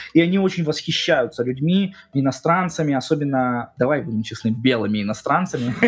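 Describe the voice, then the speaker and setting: A man with an unremarkable speaking voice and lively intonation. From Russia. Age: 30s. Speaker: blogger, programmer. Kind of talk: casual chat.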